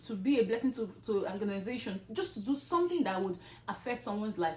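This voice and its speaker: Fairly quick delivery with lively intonation amid noticeable background noise. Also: woman. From Nigeria. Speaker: content creator. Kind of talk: motivational talk. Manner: loud; animated.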